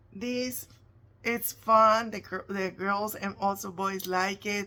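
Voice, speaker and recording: A woman speaks very slowly with a Spanish accent, her voice medium in pitch. The tone is bright and sharp, and the intonation stays monotone and flat. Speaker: face painter. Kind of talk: tutorial. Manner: casual, halting.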